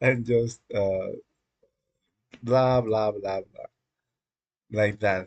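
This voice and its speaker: Here is a Spanish accent. The pace is fairly slow. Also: man. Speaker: live-coding streamer. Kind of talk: live stream, casual monologue. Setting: dimly lit room. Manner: halting, many fillers.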